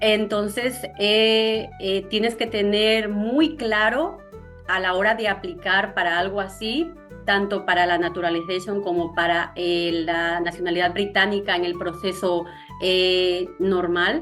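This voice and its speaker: Over music in the background, a woman speaks at a medium pitch and a very slow pace with ordinary pitch variation. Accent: southern Ecuadorian. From Zamora Chinchipe, southern Ecuador. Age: young. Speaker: content creator. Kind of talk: interview answer.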